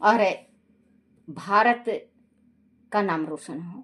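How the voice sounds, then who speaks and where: A woman talks at a medium pitch, varying it in an ordinary way. Her recording is very clean, and the background is silent. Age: 60s. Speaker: religious storyteller. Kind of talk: casual chat; reading aloud.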